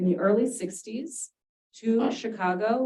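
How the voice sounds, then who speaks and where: A woman with a Californian accent at a fairly slow pace, with ordinary pitch variation. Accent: General American (California). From San Diego, California. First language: Spanish. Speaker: university dean and professor. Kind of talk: talk to retirees association.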